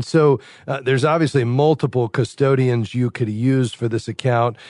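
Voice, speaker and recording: A man talks at a moderate pace in an ordinary speaking voice, the sound dry and close with no echo. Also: quiet background. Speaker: radio host of call-in finance show. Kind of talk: call-in radio show and interview. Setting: studio.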